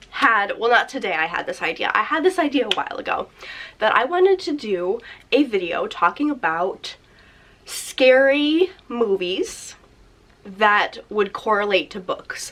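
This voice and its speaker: A woman's raised, projected voice sits at a high pitch with a bright, sharp tone and very wide pitch swings. She goes at a fairly slow pace with long, frequent pauses. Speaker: booktuber. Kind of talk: casual vlog chat. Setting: seated at home filming spot.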